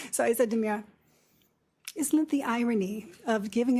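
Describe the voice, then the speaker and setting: A woman speaks at a moderate pace with a fairly high, somewhat breathy voice. The recording is very clean, with a silent background. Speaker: nurse practitioner. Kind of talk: lecture. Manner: soft-spoken.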